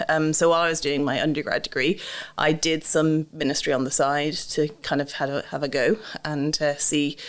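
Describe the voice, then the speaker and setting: A woman's very deep, low voice with an Irish accent and fairly even intonation. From Ireland, Dublin. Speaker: ministry trainer. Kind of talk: interview. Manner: hesitant, many fillers.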